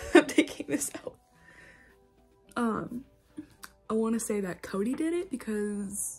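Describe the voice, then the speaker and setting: A woman with an American accent speaks at a moderate pace. Her intonation is lively, and music plays in the background. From Indiana, USA. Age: 20s. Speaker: book vlogger. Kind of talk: casual talk to camera.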